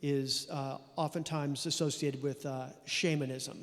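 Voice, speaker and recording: With a Californian accent, a man talks at a fairly slow pace using fairly even intonation. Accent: Californian American. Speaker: composer. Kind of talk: interview.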